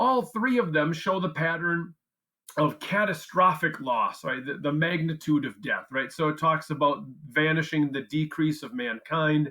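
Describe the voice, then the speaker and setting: The man's voice is fairly high in pitch, with a bright, sharp tone. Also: ordinary pitch variation. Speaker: history teacher. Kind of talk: tutorial. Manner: fast; casual.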